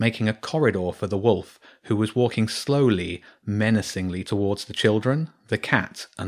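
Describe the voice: Someone reads aloud plainly.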